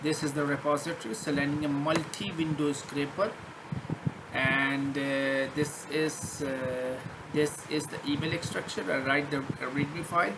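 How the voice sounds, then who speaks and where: A man with a fairly high pitch speaks at a fairly slow pace and fairly even intonation, with audible room echo and noticeable background noise. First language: not English. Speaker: programming tutor. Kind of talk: screen-share coding tutorial. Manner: halting, many fillers and restarts.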